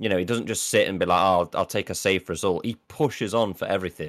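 A man speaks at a fairly low pitch with ordinary pitch variation, the sound dry and close with no echo. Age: young. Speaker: podcast co-host. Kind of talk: casual chat.

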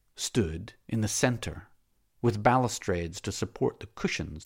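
The intonation is lively throughout. It comes from reading aloud in a natural voice.

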